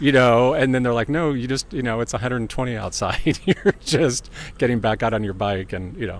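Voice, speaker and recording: At a fairly quick pace, a man with a normal speaking voice talks at a medium pitch that varies in an ordinary way. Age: 60s. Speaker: HIV advocate and volunteer. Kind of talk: interview.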